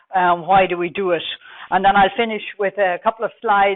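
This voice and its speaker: A woman with a Dublin accent talks at a moderate pace. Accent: Irish (Dublin). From Ireland, Dublin. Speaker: telecom research manager. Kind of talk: conference presentation.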